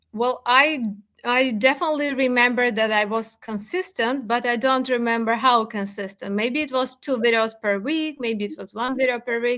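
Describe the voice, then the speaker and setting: With a non-native accent, a woman speaks in a high, bright, sharp tone, using ordinary pitch variation and hardly any pauses. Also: moderate pace. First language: not English. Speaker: crypto content creator. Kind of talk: podcast interview. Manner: halting, with hesitations.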